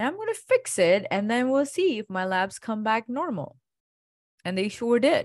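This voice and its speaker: A woman at a fairly high pitch and moderate pace, with very wide pitch swings, in a very clean, dry, close recording with a silent background and no echo. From India (Gujarat). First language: Indian language. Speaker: functional medicine doctor. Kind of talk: interview.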